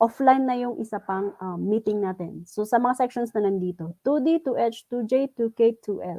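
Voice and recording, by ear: A woman speaks at a moderate pace with a dark, mellow tone, a fairly high pitch and ordinary pitch variation.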